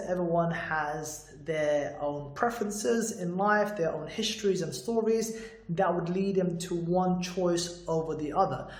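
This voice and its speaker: Noticeable background noise runs under the speech. The room echo is audible. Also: man. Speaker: motivational speaker on stuttering. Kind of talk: vlog monologue.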